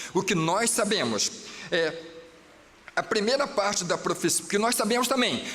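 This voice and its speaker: An animated, high-pitched male voice over noticeable background noise. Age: 60s. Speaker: pastor. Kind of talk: sermon. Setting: church.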